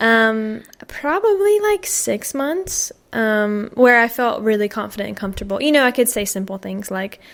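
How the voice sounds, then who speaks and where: A woman with a Southern US accent speaks at a moderate pace with hardly any pauses. Her fairly high pitch shows ordinary variation, and the recording is very clean with a silent background. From US South. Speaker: American expat. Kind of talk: podcast interview.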